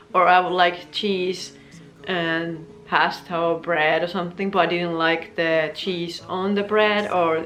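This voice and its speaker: With music in the background and audible room echo, the speaker uses a Finnish accent, a fairly slow pace and monotone, flat intonation. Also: woman. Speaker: vlogger. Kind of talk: casual chat.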